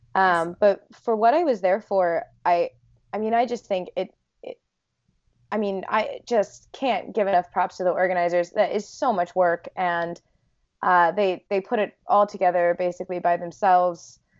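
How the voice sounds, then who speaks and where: A woman with an American accent and an unremarkable speaking voice, medium pitch, fairly even intonation, at a moderate pace. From US Northeast, South Jersey. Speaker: poet. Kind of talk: casual interview chat.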